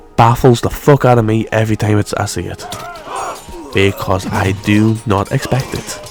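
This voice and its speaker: Music plays behind a man with a fairly low pitch. He talks at a moderate pace with fairly even intonation. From northern England near Scottish border. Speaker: gaming YouTuber. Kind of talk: casual gameplay commentary. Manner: rambling filler-heavy, frequent 'right'.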